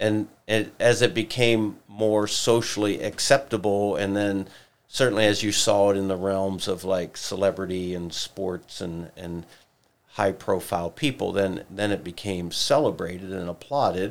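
An unremarkable speaking voice with ordinary pitch variation moves at a fairly slow pace on a very clean recording with a silent background. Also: man, fairly low pitch for a man. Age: 60s. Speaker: pastor. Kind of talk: casual chat. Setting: studio.

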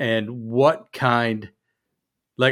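A man of medium pitch with an American accent, on a very clean recording with a silent background. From US Midwest, Chicago. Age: 50s. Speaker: podcast co-host, firefighter. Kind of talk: casual chat.

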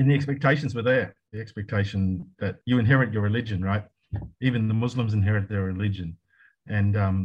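A man with an Australian accent speaks at a very fast pace, his somewhat breathy voice fairly low in pitch with ordinary pitch variation. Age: 60s. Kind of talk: casual interview. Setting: video call.

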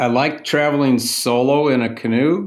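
A man speaks very slowly, his fairly high voice moving with ordinary pitch variation. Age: 60s. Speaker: outdoor gear maker and paddler. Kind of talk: casual interview chat. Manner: relaxed, casual.

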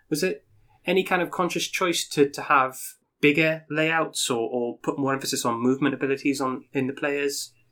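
A man speaks at a moderate pace in a fairly high pitch. His is an unremarkable speaking voice. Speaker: podcast co-host.

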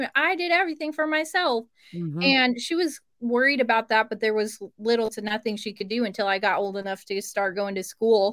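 A woman with an American accent talks at a fairly quick pace in an unremarkable speaking voice, her fairly high pitch carried by lively intonation. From Cleveland, Ohio. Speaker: podcast host. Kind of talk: casual interview chat.

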